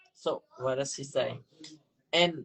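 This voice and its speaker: A man speaks at a fairly slow pace. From Vietnam. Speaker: interviewee, husband in intercultural couple. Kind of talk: interview. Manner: halting, many fillers.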